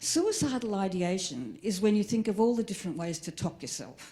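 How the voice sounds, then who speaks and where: This woman has a dark, mellow tone and speaks in an Australian accent. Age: 60s. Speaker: comedian. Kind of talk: stand-up.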